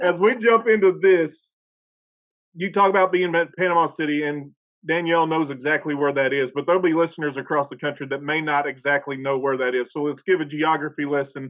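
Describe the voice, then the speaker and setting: This man has a plain, everyday voice with an American accent, pitched fairly high. He talks at a fairly quick pace with ordinary pitch variation. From northeast Oklahoma. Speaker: podcast host. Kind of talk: podcast interview.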